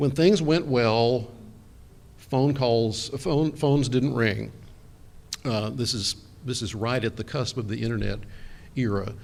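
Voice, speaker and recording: Speaking with an American accent, a man at medium pitch talks at a fairly slow pace with long, frequent pauses and ordinary pitch variation, and audible room echo surrounds his voice. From Texas. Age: 60s. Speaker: architectural historian. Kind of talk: conference talk. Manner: hesitant, many fillers.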